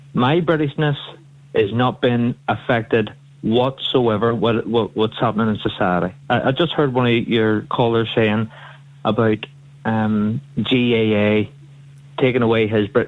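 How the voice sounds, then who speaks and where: In a Northern Irish accent, a man speaks at medium pitch and a fairly slow pace, with fairly even intonation and very even loudness. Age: 30s. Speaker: radio phone-in caller. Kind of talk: phone-in call.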